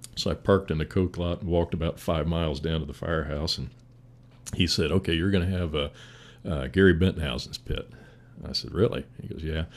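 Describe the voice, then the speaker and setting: A man speaks with an Indiana accent and vocal fry. His very deep, low pitch shows ordinary variation. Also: fairly quick pace. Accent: Midwestern US (Indiana). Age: 60s. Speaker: firefighter. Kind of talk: casual chat.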